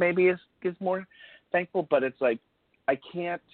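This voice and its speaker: A man is speaking. He has an American accent. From US South. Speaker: podcast co-host. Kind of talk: casual chat.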